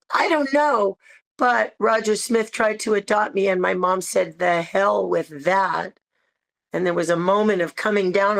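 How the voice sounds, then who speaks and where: A woman with an American accent and an unremarkable speaking voice, medium pitch, ordinary pitch variation, and a moderate pace, in a dry, close sound with no echo. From San Francisco, US West Coast. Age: 60s. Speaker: interviewee. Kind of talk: interview.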